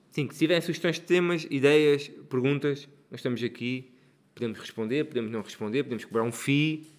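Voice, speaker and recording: This is a normal speaking voice. The pitch variation is ordinary. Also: man, fairly high pitch for a man. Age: 40s. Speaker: podcast co-host. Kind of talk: casual chat.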